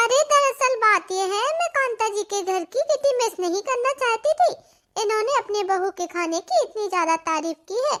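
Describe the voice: A woman performs a cartoonish character voice at an extremely high pitch and a moderate pace, the sound dry and close with no echo.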